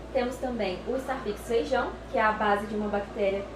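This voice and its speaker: With audible room echo and noticeable background noise, the speaker talks at a moderate pace with ordinary pitch variation. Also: woman. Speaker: lab technician explaining products. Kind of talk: explanatory tour talk. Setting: laboratory. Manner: hesitant with fillers.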